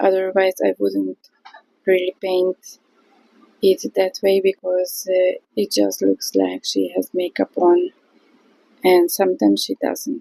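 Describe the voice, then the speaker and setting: Pausing often and at length, a woman talks very slowly. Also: dry, close sound with no echo. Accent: non-native. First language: not English. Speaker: watercolour artist. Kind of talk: tutorial. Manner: halting.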